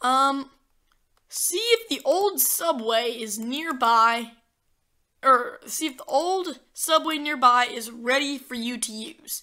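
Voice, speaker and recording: A woman's raised, projected voice, high-pitched with a bright, sharp tone, lively intonation, big swings in loudness and a very slow pace. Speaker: gaming YouTuber. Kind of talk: gameplay commentary. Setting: home recording, screen capture. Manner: casual, filler words.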